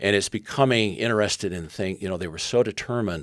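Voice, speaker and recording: At a moderate pace, a man speaks with ordinary pitch variation in a very clean recording with a silent background. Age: 70s. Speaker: former intelligence officer turned education activist. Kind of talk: interview conversation. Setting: podcast interview. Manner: halting, with restarts.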